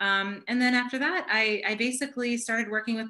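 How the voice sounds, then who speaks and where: A woman speaks with an American accent. Her pitch is fairly high, with ordinary pitch variation. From US, New York (Long Island). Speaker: human rights statistician. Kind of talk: Q&A after a presentation. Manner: fast when excited; animated.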